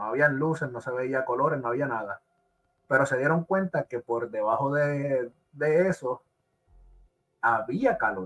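A man speaks at a fairly slow pace with ordinary pitch variation and long, frequent pauses. The sound is dry and close, with no echo. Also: fairly high pitch for a man. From Puerto Rico. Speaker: podcast host. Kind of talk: casual chat. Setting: live stream.

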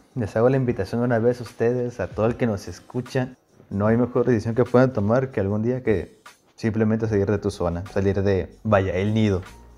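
A man speaks in a normal speaking voice at medium pitch. His pace is fairly quick and his intonation fairly even. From Mexico, Puebla and Sinaloa (Guasave). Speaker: student. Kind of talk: casual chat.

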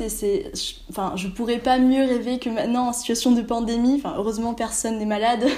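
A woman with a fairly high pitch at a moderate pace, audible room echo around her voice. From Austria. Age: 20s. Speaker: exchange student. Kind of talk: casual interview.

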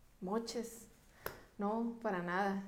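A woman speaks very slowly at a fairly high pitch with ordinary pitch variation. Audible room echo surrounds her voice. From Mexico, La Paz, Baja California Sur. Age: 30s. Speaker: politician. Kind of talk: interview. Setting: studio.

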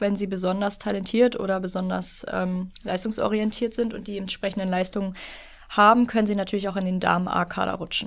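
A woman talks at a moderate pace with a monotone, flat intonation. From northern Lower Saxony coast, Germany. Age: 20s. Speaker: student teacher and canoe polo player. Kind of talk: podcast interview.

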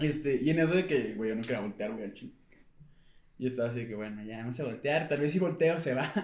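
The speech comes at a very fast pace with ordinary pitch variation. Audible room echo hangs on the voice. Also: man, medium pitch for a man. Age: 20s. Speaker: podcast co-host. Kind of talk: casual chat.

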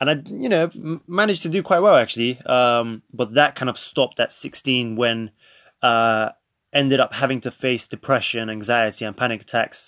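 In a London accent, a man talks at a moderate pace with medium pitch and ordinary pitch variation, the sound dry and close with no echo against a quiet background. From North London, England. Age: 20s. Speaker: podcast host. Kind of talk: casual monologue.

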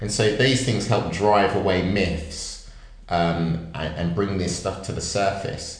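Over noticeable background noise and audible room echo, a man speaks very slowly in a fairly low pitch with ordinary pitch variation. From Northamptonshire, England. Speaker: podcast co-host. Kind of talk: casual chat.

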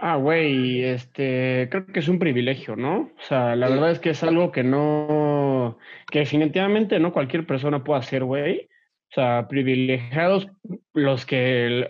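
Speaking at a fairly slow pace, a man uses a fairly high pitch with ordinary pitch variation and very even loudness. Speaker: former college athlete, office worker. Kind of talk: casual chat. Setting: video call.

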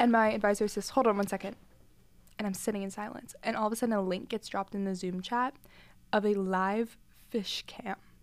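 A woman with an American accent speaks in a monotone, with flat intonation. The recording is very clean, with a silent background. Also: medium pitch for a woman. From US South. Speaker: podcast co-host. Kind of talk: casual chat.

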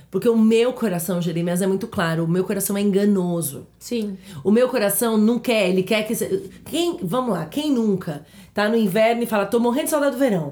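Lively in intonation and fairly quick, a woman speaks at a medium pitch with a dark, mellow tone. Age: 30s. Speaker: podcast co-host. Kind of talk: casual chat.

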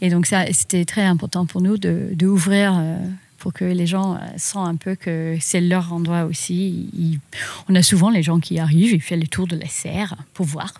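A woman's fairly low, dark and mellow voice, somewhat breathy, at a fairly slow pace with fairly even intonation, on a very clean recording with a silent background. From South Africa (Johannesburg). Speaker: farmer. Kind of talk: casual chat. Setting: on a farm.

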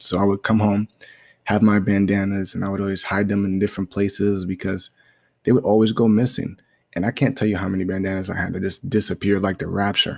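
A man with an American accent speaks at a very fast pace and fairly low pitch, monotone and flat. The sound is dry and close with no echo, on a very clean recording with a silent background. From Brooklyn, New York. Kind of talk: casual monologue. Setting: home living room.

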